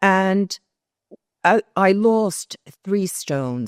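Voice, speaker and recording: In a very clean recording with a silent background, a woman speaks with lively intonation in a dry, close sound with no echo. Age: 60s. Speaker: patient. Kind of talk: testimony.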